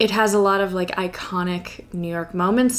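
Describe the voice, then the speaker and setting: A woman with an American accent and fairly even intonation. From US small town. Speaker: book YouTuber. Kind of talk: casual vlog-style chat. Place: home room.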